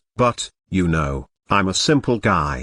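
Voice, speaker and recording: A man's put-on character voice, growling and very deep, with very wide pitch swings at a fairly slow pace. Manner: stammering.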